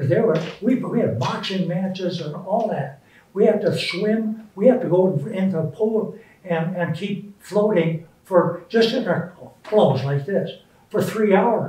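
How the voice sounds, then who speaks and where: Through audible room echo and noticeable background noise, a man speaks at a fairly slow pace. His voice is high-pitched, with ordinary pitch variation. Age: 80s+. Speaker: war veteran. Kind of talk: interview.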